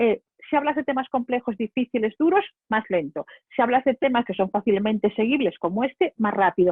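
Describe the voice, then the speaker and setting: Speaking in a Spanish accent, a woman sounds animated, with lively intonation and a fairly quick pace. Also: fairly high pitch for a woman. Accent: Spain Spanish. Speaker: public speaking trainer. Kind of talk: webinar lecture. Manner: fast.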